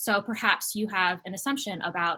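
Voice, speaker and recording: A woman with an American accent, bright and sharp in tone, at a fairly quick pace. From New Jersey. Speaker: activist trainer, organizer. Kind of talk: online training workshop. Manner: fast.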